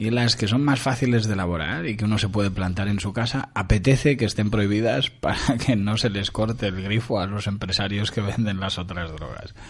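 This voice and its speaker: With hardly any pauses, a man speaks at a fairly quick pace in an ordinary speaking voice, fairly low in pitch with ordinary pitch variation. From Uruguay, Montevideo. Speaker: radio host. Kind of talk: casual chat.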